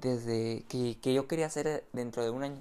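The tone is dark and mellow, with a Mexican accent. Speech moves at a moderate pace with fairly even intonation. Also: man. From Mexico. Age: 20s. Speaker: sports betting tipster. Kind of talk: casual monologue. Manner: talkative, many repetitions.

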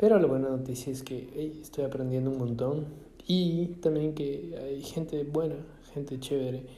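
Somewhat breathy and dark, mellow in tone, this man's fairly high voice moves at a moderate pace with ordinary pitch variation and audible room echo. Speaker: podcaster. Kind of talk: casual monologue. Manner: halting, many fillers and repetitions.

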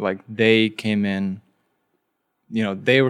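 Fairly low male voice at a fairly slow pace, intonation fairly even, in a very clean recording with a silent background. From Bosnia, raised in US from age five. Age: young. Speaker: startup founder. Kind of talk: interview conversation.

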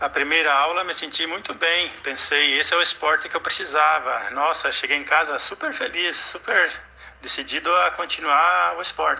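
A man talks at a moderate pace while background noise remains noticeable. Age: 50s. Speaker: retired security guard, jiu-jitsu student. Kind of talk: interview answers.

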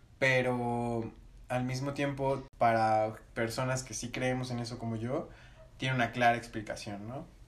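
A man's fairly slow, monotone, flat delivery with audible room echo. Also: medium pitch for a man. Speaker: paranormal enthusiast. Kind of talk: casual chat.

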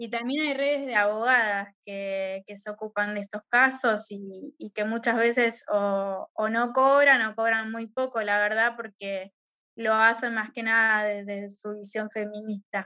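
A bright, sharp tone at a fairly slow pace with hardly any pauses, fairly even intonation and big swings in loudness, dry and close with no echo. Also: woman, fairly high pitch for a woman. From Argentina. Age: 30s. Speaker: teacher and gender violence advocate. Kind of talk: interview.

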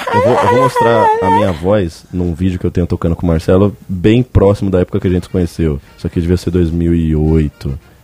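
Music plays in the background as a man with a very deep, low pitch talks at a fairly quick pace with hardly any pauses and ordinary pitch variation. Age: 20s. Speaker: podcast host. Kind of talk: casual chat.

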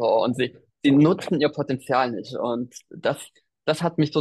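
A moderate pace with a dry, close sound and no echo. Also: man, quiet background. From Thuringia, eastern Germany. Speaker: business mentor, digital nomad. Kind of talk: interview. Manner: animated.

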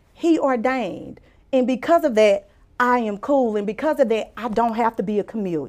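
Fairly high-pitched woman in a Louisiana accent at a moderate pace. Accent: US Southern (Louisiana). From Louisiana (Mansfield, rural). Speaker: physician and author. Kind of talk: casual interview with personal testimony.

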